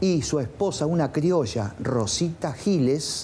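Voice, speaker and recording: A man talks with fairly high pitch, lively intonation and a somewhat breathy quality. His tone is dark and mellow, with an Argentine accent. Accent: Rioplatense Argentine Spanish. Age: 70s. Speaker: painter and bar owner. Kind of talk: casual interview. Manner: halting.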